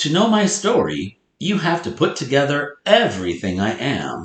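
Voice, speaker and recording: A man speaks at a very slow pace with vocal fry. His pitch swings very widely. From North Dakota, US Upper Midwest. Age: 40s. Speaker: elementary school teacher. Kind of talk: lesson with read-aloud for pupils. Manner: loud.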